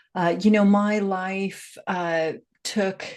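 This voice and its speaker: A woman with an American accent, fairly low in pitch, with ordinary pitch variation. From US, Seattle. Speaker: life coach and grief educator. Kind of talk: podcast interview.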